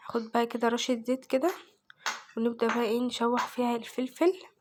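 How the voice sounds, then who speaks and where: Speech at a fairly quick clip, with noticeable noise in the background. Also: woman. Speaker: home cooking vlogger. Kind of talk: cooking tutorial. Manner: casual.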